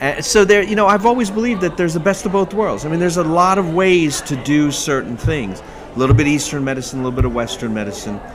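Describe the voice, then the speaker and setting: Very fast speech from a man with a fairly high pitch, very wide pitch swings and hardly any pauses, amid noticeable background noise and audible room echo. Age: 60s. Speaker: physician. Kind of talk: interview. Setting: medical conference. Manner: animated.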